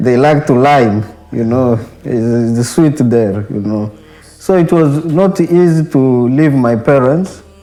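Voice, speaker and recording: With music in the background, a man speaks at a very slow pace with ordinary pitch variation. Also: medium pitch for a man. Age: young. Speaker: monk in training. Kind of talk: interview testimony.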